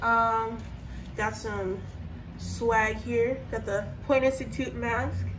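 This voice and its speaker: Noticeable background noise and audible room echo surround a woman speaking with an American accent. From US West, Las Vegas, Nevada. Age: 20s. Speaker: travel vlogger. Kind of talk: casual vlog.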